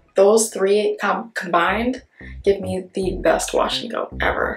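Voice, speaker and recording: Audible room echo surrounds a woman's voice, with faint music in the background. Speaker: beauty vlogger. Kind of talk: casual product review vlog. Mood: enthusiastic, relaxed. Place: home room. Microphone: phone near.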